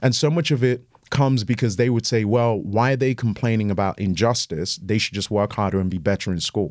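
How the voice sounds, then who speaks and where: In a very clean recording with a silent background, a man with a British accent talks at a fairly quick pace and medium pitch, with ordinary pitch variation and hardly any pauses. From Ghana, then raised in England. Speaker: pastor, guest speaker. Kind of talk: casual chat.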